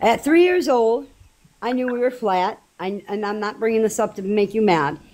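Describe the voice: A woman at a medium pitch speaks at a moderate pace, her slightly mellow tone carried by lively intonation.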